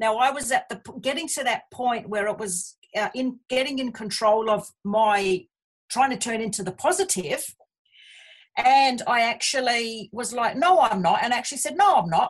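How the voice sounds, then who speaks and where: Speaking in an Australian accent, a woman talks at a moderate pace in a high voice with very wide pitch swings. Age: 50s. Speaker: abuse survivor. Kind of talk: testimony. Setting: remote call.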